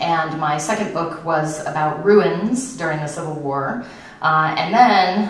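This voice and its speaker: A woman speaks with a very deep, low pitch and ordinary pitch variation at a moderate pace. Audible room echo surrounds her voice. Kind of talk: lecture. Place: stage.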